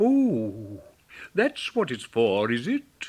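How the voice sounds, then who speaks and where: Putting on a character voice, a man speaks at a medium pitch in a pompous tone. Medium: read story. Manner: pompous, fussy.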